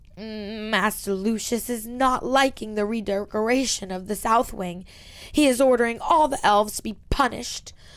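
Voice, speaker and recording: A woman speaks at a moderate pace in a put-on character voice, her pitch fairly high. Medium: read story. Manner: broken grammar, speaks of herself in third person.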